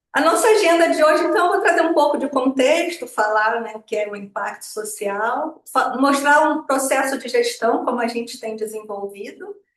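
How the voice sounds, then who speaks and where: Very wide pitch swings from a woman at a moderate pace. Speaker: social impact consultant. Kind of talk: webinar presentation.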